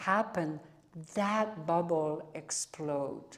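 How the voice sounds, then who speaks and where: A woman's voice with fairly even intonation. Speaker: speaker on yogic spirituality. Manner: halting, repeats words while explaining.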